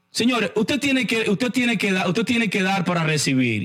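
A man's intonation rises and falls in a lively way while noticeable background noise carries on. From Dominican Republic, Santo Domingo. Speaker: podcast host discussing investing. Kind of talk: casual monologue.

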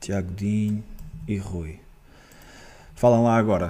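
A man talks with a fairly low pitch, and some room echo can be heard. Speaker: football podcast host. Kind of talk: casual chat.

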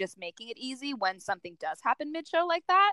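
A woman with a plain, everyday voice talks at a fairly quick pace with lively intonation, the sound dry and close with no echo. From New York City. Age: 20s. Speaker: makeup artist. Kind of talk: interview.

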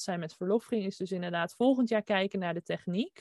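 Her tone dark and mellow, a woman speaks at a moderate pace and medium pitch with ordinary pitch variation. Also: dry, close sound with no echo. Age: 20s. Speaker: designer and entrepreneur. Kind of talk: interview. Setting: video call.

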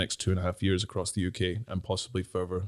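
A man speaks very fast in a very deep, low pitch with a dark, mellow tone. The recording is very clean and dry, with a close sound, no echo and a silent background. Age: 30s. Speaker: entrepreneur and artist. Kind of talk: casual interview. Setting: studio. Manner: halting, many repeated words and fillers.

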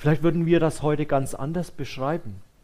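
A man's fairly high voice with a warm, dark, mellow tone. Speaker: preacher. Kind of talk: sermon. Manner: warm, conversational and earnest, with a comforting tone; pastoral, unhurried, addressing listeners directly as "du".

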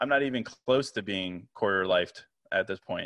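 A man speaks with an American accent and a noticeable vocal fry. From Virginia, US. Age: 30s. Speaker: podcaster and writer. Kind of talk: casual interview.

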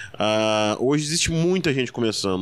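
In a plain, everyday voice of medium pitch, a man speaks at a fairly quick pace with ordinary pitch variation. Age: 20s. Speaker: stand-up comedian. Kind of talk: casual interview chat.

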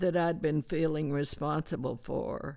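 Vocal fry in a woman's voice, recorded very cleanly against a silent background. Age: 80s+. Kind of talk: interview, reading aloud scripture and article. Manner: hesitant, halting with fillers.

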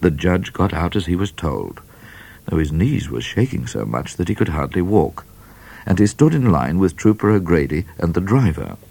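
Very deep and low, a man's voice carries vocal fry and very wide pitch swings at a moderate pace. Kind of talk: children's audiobook reading aloud. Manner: animated, playful storyteller who voices characters with menace and comic flair; warm, wry and slightly mock-serious, with dramatic pacing.

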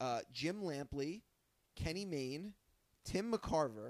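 A man's fairly high voice with lively intonation. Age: 30s. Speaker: podcast host. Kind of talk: casual chat. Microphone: new proper microphones.

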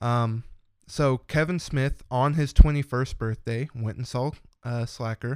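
In a plain, everyday voice, a man talks at a fairly slow pace and medium pitch with fairly even intonation and big swings in loudness, on a very clean recording with a silent background. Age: 20s. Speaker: podcast guest, longtime listener. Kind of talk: casual chat.

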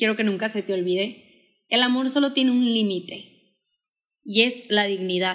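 A woman with an ordinary speaking voice talks fairly slowly, her pitch varying in an ordinary way. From Mexico, Sonora (Hermosillo). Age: 20s. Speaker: podcaster and speaker. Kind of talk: casual chat.

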